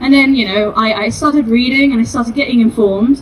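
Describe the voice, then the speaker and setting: A woman's high voice with ordinary pitch variation over noticeable background noise. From Spain. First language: Spanish. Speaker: activist. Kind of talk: protest speech.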